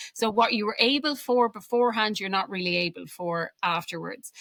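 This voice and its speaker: A woman's medium-pitched voice with an Irish accent and ordinary pitch variation. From Ireland. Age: 40s. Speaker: alcohol-free coach. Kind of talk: podcast interview.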